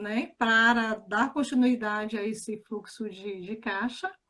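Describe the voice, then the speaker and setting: With a northeastern Brazilian accent, a woman speaks at a fairly slow pace. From Bahia, Brazil (Feira de Santana). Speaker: financial educator. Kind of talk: casual chat. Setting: live stream.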